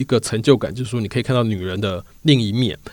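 Lively in intonation, a man talks very fast. Behind him is a silent background on a very clean recording. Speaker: podcast host and magazine reporter. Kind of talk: narrated storytelling podcast. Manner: frequent filler words.

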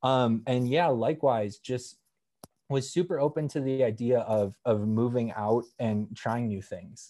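Speaking at a fairly slow pace with an American accent, the voice has a dark, mellow tone and ordinary pitch variation. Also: man, medium pitch for a man, very clean recording, silent background. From Wisconsin, Madison area. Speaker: footwear designer. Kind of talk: interview. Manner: casual, many fillers.

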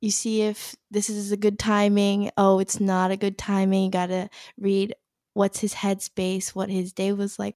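Dry and close with no echo, in a very clean recording against a silent background, a woman with a Canadian accent speaks at a fairly slow pace in a dark, mellow tone. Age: 20s. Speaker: newlywed wife. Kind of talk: casual interview.

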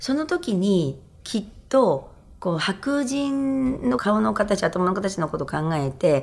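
A woman with a medium pitch talks at a very slow pace, her pitch swinging very widely. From Japan, Gifu Prefecture. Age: 60s. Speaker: hairdresser and salon owner. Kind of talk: interview.

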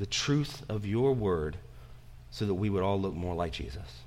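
Lively intonation marks this fairly low-pitched man's voice, heard with audible room echo. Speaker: pastor. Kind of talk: sermon. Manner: halting, with fillers.

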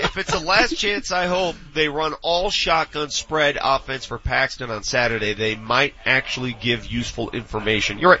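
Over noticeable background noise, a man with a fairly high pitch speaks at a moderate pace with lively intonation and hardly any pauses. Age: 40s. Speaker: sports radio host. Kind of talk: casual chat. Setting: live broadcast from a training facility.

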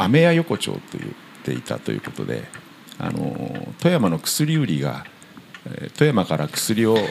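Over noticeable background noise, a man talks at a fairly slow pace and fairly low pitch, with very wide pitch swings. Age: 60s. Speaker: guesthouse owner. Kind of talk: interview. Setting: old house.

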